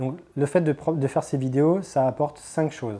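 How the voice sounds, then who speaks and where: His tone is dark and mellow. The man's pitch sits fairly high and varies in an ordinary way. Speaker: inline slalom skating instructor. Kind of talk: tutorial. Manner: fast; hesitant fillers.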